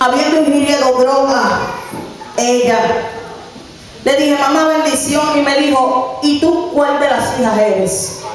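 Over light background noise and strong room echo, a woman speaks at a very slow pace in a high voice with ordinary pitch variation. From Puerto Rico, Carolina. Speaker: preacher. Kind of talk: sermon. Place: church.

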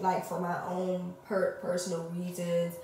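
Woman's voice with audible room echo and light background noise. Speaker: vlogger. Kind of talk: casual vlog chat. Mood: frustrated, candid. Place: bathroom. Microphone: phone near.

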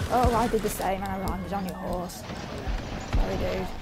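Loud background noise runs under a woman talking at a moderate pace. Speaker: gamer. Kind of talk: casual gameplay commentary. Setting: voice recorded separately, a bit quieter than normal.

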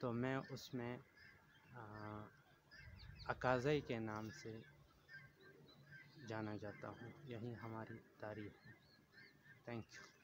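Against noticeable background noise and a dry sound with no echo, a man speaks at medium pitch with fairly even intonation. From Pakistan, Khyber Pakhtunkhwa, Tor Ghar; Khyber Pakhtunkhwa, Pakistan. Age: 30s. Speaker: local storyteller. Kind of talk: personal testimony. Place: garden. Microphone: phone near.

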